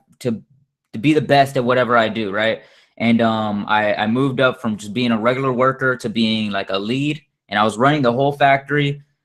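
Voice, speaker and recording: A man's medium-pitched voice with an American accent, at a moderate pace with ordinary pitch variation. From US, grew up in the projects. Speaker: network marketing presenter. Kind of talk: sales pitch webinar testimony. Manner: proper-sounding speech; casual with many fillers.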